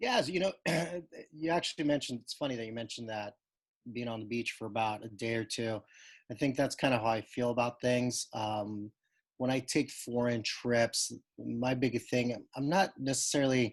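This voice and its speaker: An unremarkable speaking voice from a man with an American accent, medium pitch, ordinary pitch variation and a moderate pace. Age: 40s. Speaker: blind date participant. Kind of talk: casual chat. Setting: video call.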